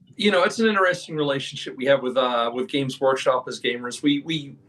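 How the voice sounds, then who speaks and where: A man's fairly high voice, showing ordinary pitch variation, rises above noticeable background noise. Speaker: game designer. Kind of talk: interview.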